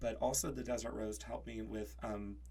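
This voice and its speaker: Audible room echo surrounds a voice with an American accent speaking at a fairly quick pace. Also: man. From US, Kansas. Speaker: witch sharing crystals and magic practice. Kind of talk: casual podcast conversation. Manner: halting, many fillers.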